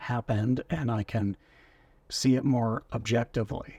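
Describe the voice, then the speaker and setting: A man's somewhat breathy voice at a very slow pace, fairly even in intonation, in a dry, close recording with no echo. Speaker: personal vlogger on mental health. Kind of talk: casual talk to camera.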